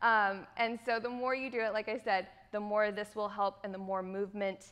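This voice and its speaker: A woman talks at a moderate pace. Her tone is bright and sharp. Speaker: dance instructor. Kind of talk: tutorial. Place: studio.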